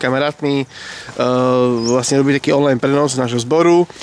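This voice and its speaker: Over noticeable background noise, a man speaks at a very fast pace with a fairly high pitch. His intonation is fairly even. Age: 40s. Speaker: youth group leader. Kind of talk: casual chat. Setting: outdoors.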